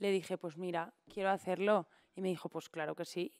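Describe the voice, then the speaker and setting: A woman with fairly even intonation against a quiet background. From Spain, Valencia region. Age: 30s. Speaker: impressionist and poet; podcast guest. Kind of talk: casual chat. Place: studio. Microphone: studio mic.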